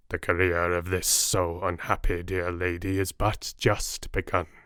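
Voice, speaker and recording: In a raspy, put-on character voice, a man speaks at a fairly slow pace. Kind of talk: Victorian gothic drama. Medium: read story. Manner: solemn, earnest, paternal.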